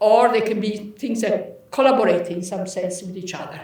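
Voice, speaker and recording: Noticeable background noise and audible room echo surround a woman speaking with lively intonation. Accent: Italian. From Italy. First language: Italian. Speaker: professor. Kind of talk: lecture.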